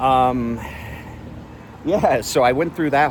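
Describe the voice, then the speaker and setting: There is noticeable background noise behind a man speaking. His pitch is medium and his pace moderate. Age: 40s. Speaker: daily vlogger. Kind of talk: casual monologue. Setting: outdoors, walking with selfie stick. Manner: rambling, halting with fillers.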